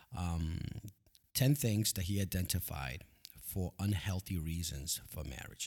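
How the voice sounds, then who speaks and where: Against a silent background in a very clean recording, a man with a very deep, low pitch speaks somewhat breathily at a fairly slow pace, his intonation lively. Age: 40s. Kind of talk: solo podcast monologue on marriage.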